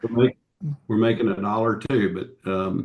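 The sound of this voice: A man's medium-pitched voice with a Southern US accent and ordinary pitch variation.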